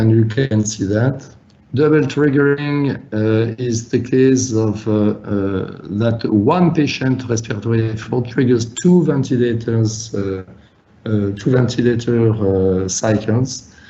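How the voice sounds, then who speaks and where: A man talks at a very slow pace and a medium pitch. His pitch variation is ordinary, and room echo is audible. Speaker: physician presenter. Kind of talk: webinar lecture. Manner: halting, many fillers.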